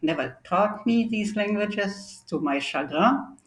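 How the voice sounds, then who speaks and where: A woman with a German accent, fairly slow, with lively intonation. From East Germany (Halle, Berlin). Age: 70s. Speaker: historian of science. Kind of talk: academic interview.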